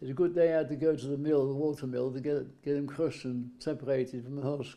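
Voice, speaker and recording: Very fast, monotone, flat delivery from a fairly high-pitched man with a Welsh accent. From Wales. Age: 80s+. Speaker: farmer and war veteran. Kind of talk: interview. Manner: halting.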